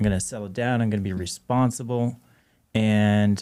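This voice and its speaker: A man with a slight Canadian accent talks at a fairly low pitch with fairly even intonation. The recording is very clean, with a silent background. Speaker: DJ and marketing expert. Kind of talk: casual interview chat.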